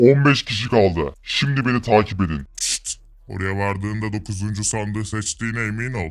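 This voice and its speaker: A man's put-on character voice, fairly low in pitch, at a moderate pace with hardly any pauses, on a very clean recording with a silent background. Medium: machinima. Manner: formal, detached.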